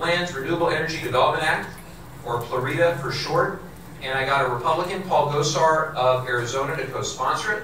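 A man talks at a very fast pace, with audible room echo and light background noise. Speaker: politician at a town hall. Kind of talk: public speech. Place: hall.

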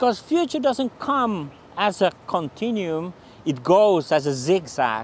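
Speaking with a Finnish accent, a man uses a high pitch and very wide pitch swings at a fairly slow pace. The sound is dry with no echo, with light background noise. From Finland. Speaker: futurist; presenter. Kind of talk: channel introduction to camera. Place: street. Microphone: lapel.

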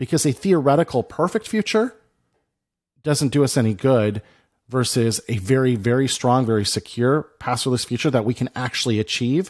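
Lively intonation marks speech at a moderate pace over a quiet background. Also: man. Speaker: podcast co-host. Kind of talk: podcast discussion. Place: home room. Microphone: studio mic.

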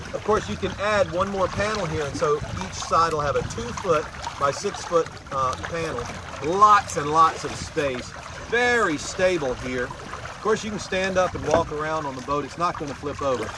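A man talks at a moderate pace in a dry sound with no echo, with noticeable background noise behind him. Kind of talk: product demo talk. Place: boat.

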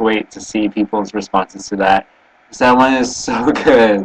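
A male speaker going at a moderate pace. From Canada. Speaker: vlogger. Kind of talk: webcam video blog; casual vlog chat. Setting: webcam recording. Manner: halting, many fillers. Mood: cheerful, smiling, relaxed. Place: home room. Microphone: webcam.

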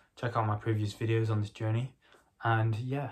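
A soft-spoken, somewhat breathy man at a moderate pace, monotone and flat in intonation, over a quiet background. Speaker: vlogger documenting agency business; vlogger. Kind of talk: casual vlog. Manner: soft-spoken, talking quietly. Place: home room. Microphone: phone near.

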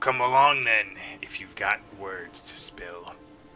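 Putting on a character voice, a man growls in a gruff, fairly low pitch at a fairly slow pace. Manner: gruff, growling, impatient.

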